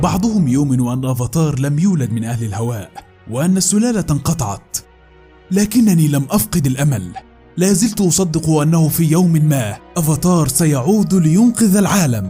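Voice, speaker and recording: A fairly high-pitched man at a fairly slow pace, with very wide pitch swings and music in the background. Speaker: voice-over artist. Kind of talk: cartoon intro narration dub. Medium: dub.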